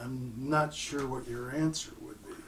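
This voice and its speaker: A man with a fairly high pitch, somewhat breathy and fairly even in intonation, at a fairly slow pace. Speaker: audio equipment manufacturer. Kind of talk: casual interview chat.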